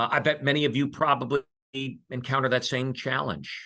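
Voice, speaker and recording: Against a quiet background, a man with an American accent talks at a very fast pace in a medium pitch, with a bright, sharp tone and vocal fry. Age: 60s. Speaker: investment firm speaker. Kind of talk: webinar presentation. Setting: online webinar. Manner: conversational, some hesitations.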